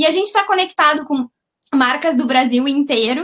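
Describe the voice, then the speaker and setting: A woman speaks with a southern Brazilian accent. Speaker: company CEO. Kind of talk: webinar presentation.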